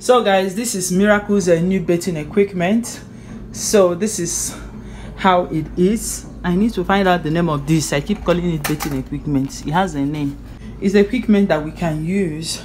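A woman's fairly low voice with ordinary pitch variation and a moderate pace, over noticeable background noise. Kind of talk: casual vlog chat. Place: bathroom. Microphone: phone near.

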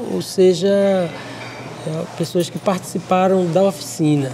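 Noticeable background noise sits behind a woman whose fairly low voice shows ordinary pitch variation. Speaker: puppet workshop teacher. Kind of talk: explaining in interview.

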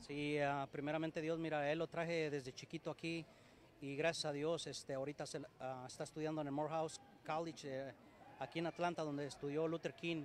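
Talking at a fairly quick pace, a man has a fairly high pitch and monotone, flat intonation. The sound is dry with no echo, with light background noise. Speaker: amateur football team founder. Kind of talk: interview. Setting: sports complex. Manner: halting. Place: hall. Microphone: poor live stream signal; handheld.

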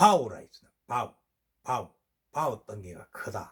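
At a very slow pace, a man speaks in a somewhat breathy voice. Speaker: regional dialect presenter. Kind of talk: casual talk to camera.

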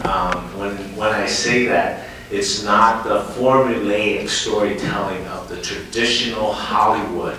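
In a room with strong echo and light background noise, a man speaks fairly slowly with ordinary pitch variation. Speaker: company president on a panel. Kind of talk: panel talk answer. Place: stage.

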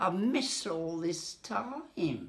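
Swinging very widely in pitch, a woman talks. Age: 80s+. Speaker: hearing aid patient. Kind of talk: interview answer. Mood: moved, grateful, emotional. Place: kitchen. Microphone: phone near.

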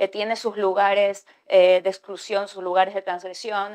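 At a moderate pace, a woman speaks in flat, monotone intonation. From Ecuador. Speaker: writer; panelist. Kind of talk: panel discussion. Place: hall.

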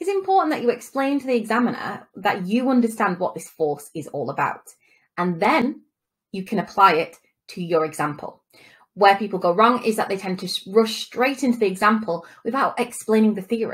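A woman talks fairly quickly in a somewhat breathy voice, her intonation lively. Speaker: business course tutor. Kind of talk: lecture. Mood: friendly, lightly humorous.

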